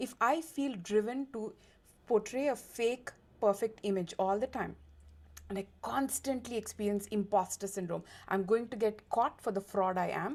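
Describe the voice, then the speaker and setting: Speaking in an Indian accent, a woman has a fairly high pitch and an animated tone. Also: ordinary pitch variation, moderate pace. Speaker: diversity and inclusion consultant, lawyer. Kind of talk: interview.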